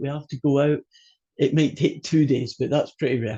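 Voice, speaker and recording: A man speaks in a Scottish accent with a fairly high pitch and a dark, mellow tone. His voice is somewhat breathy, and the background is quiet. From Scotland. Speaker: college math instructor. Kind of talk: online class lecture. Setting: video call.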